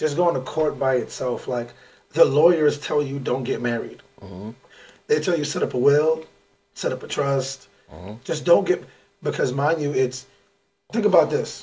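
Somewhat breathy and fairly high-pitched, a man with an American accent speaks at a moderate pace with ordinary pitch variation and long, frequent pauses. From New York. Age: 30s. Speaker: podcast co-host, former teacher, life coach. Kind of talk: casual chat.

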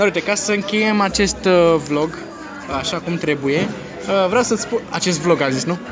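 High-pitched man with ordinary pitch variation, audible room echo and music in the background. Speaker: podcast host. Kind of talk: casual chat. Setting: fast-food restaurant. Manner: animated, energetic.

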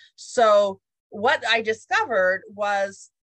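This is an ordinary speaking voice. Its pitch varies an ordinary amount. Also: woman. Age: 50s. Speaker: leadership development consultant. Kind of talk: interview.

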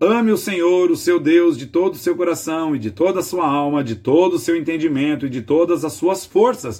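A man's high-pitched voice with lively intonation, a moderate pace and hardly any pauses. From Brazil, Greater São Paulo. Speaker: pastor. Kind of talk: devotional sermon.

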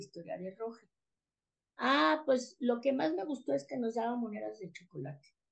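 At a moderate pace, a woman with a fairly high voice speaks with very wide pitch swings. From Mexico City. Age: 60s. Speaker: author and educator. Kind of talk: casual interview.

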